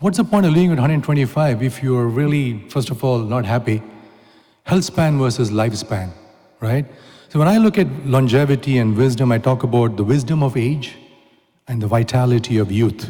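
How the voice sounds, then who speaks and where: A man with an Indian accent speaks at medium pitch and a fairly quick pace, with ordinary pitch variation. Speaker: technology entrepreneur and speaker. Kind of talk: conference talk. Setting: stage with audience. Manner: animated.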